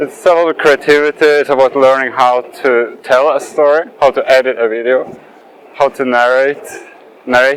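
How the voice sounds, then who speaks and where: A man with a non-native accent speaks in a fairly high voice, his intonation flat and monotone. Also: moderate pace. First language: not English. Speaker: skating youtuber. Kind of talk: casual vlog monologue while skating. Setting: outdoors, skating near traffic. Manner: hesitant, with fillers and restarts.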